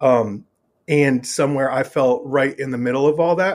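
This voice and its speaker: On a very clean recording with a silent background, a man with an American accent speaks in a normal speaking voice at a fairly high pitch. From Northern Virginia. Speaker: punk musician. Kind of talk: casual interview chat.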